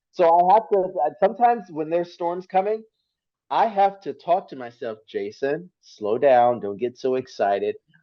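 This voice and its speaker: A man with an American accent, high-pitched, his pitch swinging very widely, at a moderate pace. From US South, southern Mississippi. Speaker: TV meteorologist. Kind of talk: casual interview chat.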